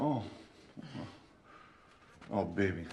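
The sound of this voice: A man does a put-on character voice, low in pitch and slightly mellow in tone. He talks at a very slow pace with lively intonation.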